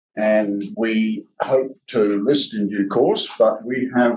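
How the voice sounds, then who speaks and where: A man talks with an Australian accent. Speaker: company executive, geologist. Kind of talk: investor presentation. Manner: fast.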